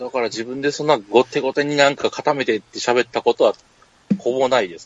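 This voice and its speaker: Long, frequent pauses break up speech that otherwise runs at a fairly quick pace, with ordinary pitch variation. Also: man. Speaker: podcast co-host. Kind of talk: casual chat.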